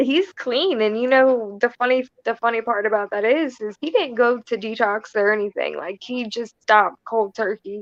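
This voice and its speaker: In an ordinary speaking voice, a woman talks at a moderate pace with ordinary pitch variation and hardly any pauses. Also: fairly high pitch for a woman. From Florida. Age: 20s. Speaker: guest on recovery talk show. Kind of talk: casual interview.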